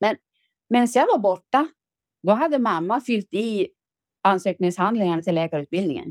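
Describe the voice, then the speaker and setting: A woman speaks at a moderate pace with a medium pitch and lively intonation, in a dry, close sound with no echo. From Ångermanland, northern Sweden. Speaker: retired factory worker and author. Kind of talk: casual interview.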